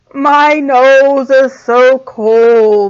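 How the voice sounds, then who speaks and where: In a put-on character voice, a woman speaks with a high pitch. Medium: read story.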